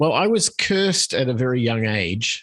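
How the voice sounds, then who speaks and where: He talks with an Australian accent. The recording is very clean, with a silent background. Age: 50s. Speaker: podcast guest, musician. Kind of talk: interview.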